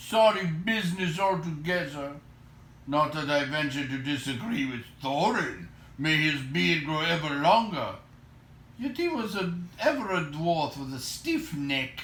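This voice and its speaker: Doing a put-on character voice, a man rumbles at a fairly high pitch and a moderate pace over clear background noise. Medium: read story. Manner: grumbling.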